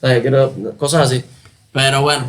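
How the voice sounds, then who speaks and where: A man speaks with a Cuban accent. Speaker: musician. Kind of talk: interview answer.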